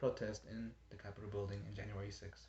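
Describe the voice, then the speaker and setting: A man speaks in a somewhat breathy voice. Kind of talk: informative speech practice. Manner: stuttering, hesitant.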